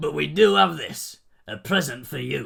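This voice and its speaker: Putting on a character voice, a man speaks at a moderate pace and medium pitch, with very wide pitch swings. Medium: read story. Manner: gruff, blunt.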